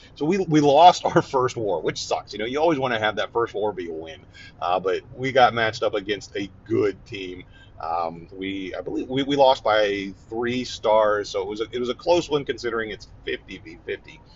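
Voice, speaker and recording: A man speaks in a relaxed, somewhat breathy tone with lively intonation. His loudness swings widely. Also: medium pitch for a man, moderate pace. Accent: American. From Ohio. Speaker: gaming podcast host. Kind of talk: casual solo talk while driving. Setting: in a car. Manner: relaxed, hesitant with fillers.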